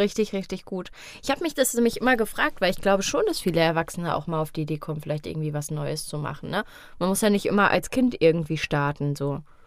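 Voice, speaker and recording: A woman talks at a very fast pace. Her pitch is fairly low and her intonation lively. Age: 20s. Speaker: podcast host. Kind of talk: casual interview. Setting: studio.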